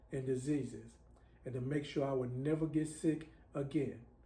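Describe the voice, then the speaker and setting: This man has a dark, mellow tone, fairly high pitch and a somewhat breathy sound. He talks at a moderate pace with fairly even intonation, and room echo is audible. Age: 60s. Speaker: self-styled prophet, religious video maker. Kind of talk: religious monologue to camera.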